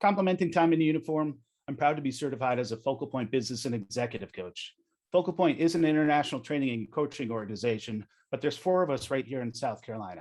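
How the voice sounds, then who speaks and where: A fairly high male voice at a very fast pace, with lively intonation. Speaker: business coach and navy veteran. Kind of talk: webinar presentation.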